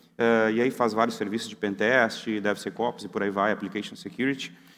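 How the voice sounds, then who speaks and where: A man speaks with a Brazilian accent. His pace is fairly quick. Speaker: security researcher, conference speaker. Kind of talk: conference talk. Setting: conference hall with audience. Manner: casual, conversational.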